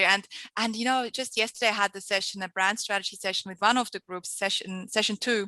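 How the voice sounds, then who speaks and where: A bright, sharp voice with a slight Swiss accent rushes along at a very fast pace in monotone, flat intonation, with big swings in loudness. The sound is dry and close with no echo, over a quiet background. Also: woman. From Switzerland. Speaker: entrepreneur and marketing mentor. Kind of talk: podcast interview answer.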